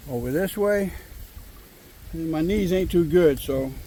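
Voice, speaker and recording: A man's high voice with an American accent, ordinary pitch variation and audible room echo. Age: 60s. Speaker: outdoor vlogger. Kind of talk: casual vlog narration. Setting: outdoors by a river.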